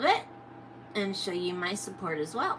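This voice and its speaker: Noticeable background noise sits behind the voice. A woman talks at a moderate pace. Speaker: reptile keeper streamer. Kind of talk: casual live stream chat. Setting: live stream. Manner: occasional stutter, words come out backwards; hesitant, many fillers.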